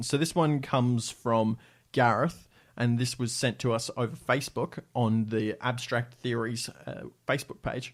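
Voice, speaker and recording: A man speaks in an Australian accent at a moderate pace. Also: very clean recording, silent background. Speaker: podcast host. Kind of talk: casual podcast chat.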